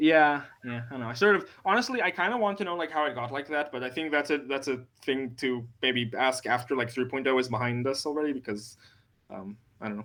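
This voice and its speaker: Speaking fairly quickly, a man with an Israeli accent uses a bright, sharp tone at medium pitch. His pitch varies in an ordinary way. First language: Hebrew. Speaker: conference organizer. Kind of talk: casual chat. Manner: halting, many fillers.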